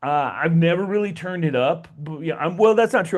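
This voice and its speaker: The pitch varies in an ordinary way over a quiet background. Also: man. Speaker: tech tutorial YouTuber. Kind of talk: tutorial. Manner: animated.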